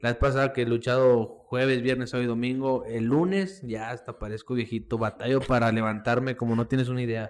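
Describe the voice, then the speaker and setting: In an ordinary speaking voice, a man at medium pitch talks at a fairly quick pace with hardly any pauses and fairly even intonation. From Mexico, Coahuila (Monclova). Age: 20s. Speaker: professional wrestler. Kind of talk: casual chat.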